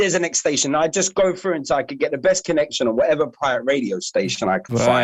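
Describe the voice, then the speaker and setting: Talking at a very fast pace in a London accent, a man with a fairly high voice and vocal fry uses lively intonation. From London, Hammersmith. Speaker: dnb MC. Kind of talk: casual chat.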